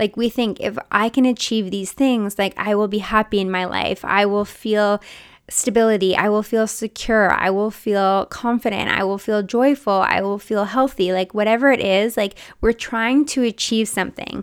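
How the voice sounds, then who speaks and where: A woman talks in a plain, everyday voice at a moderate pace. Her pitch is fairly high and her intonation fairly even. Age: 30s. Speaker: podcast host and mindset coach. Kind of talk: casual solo monologue. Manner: chatty, frequent 'like' fillers.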